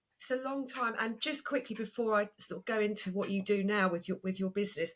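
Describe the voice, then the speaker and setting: Very fast and with ordinary pitch variation, a woman speaks in an Essex accent. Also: fairly high pitch for a woman. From Essex, England. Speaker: podcast host, personal stylist. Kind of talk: podcast interview.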